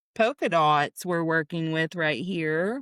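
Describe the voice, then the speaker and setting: In a very clean recording with a silent background, a woman speaks loudly at a moderate pace. The sound is dry and close, with no echo. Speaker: podcast co-host. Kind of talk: casual chat.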